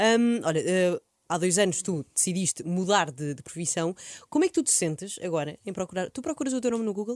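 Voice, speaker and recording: Speaking with an European Portuguese accent, a woman uses a medium pitch and lively intonation. Her pace is fairly quick, and the sound is dry and close with no echo. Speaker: radio host. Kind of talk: casual chat. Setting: studio.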